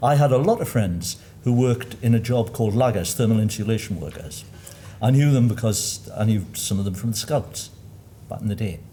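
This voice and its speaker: A man with a slight Geordie accent talks at a fairly quick pace. His medium-pitched voice shows ordinary pitch variation. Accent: mild, posh Geordie. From Newcastle area, north-east England. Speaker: panellist. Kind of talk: panel discussion.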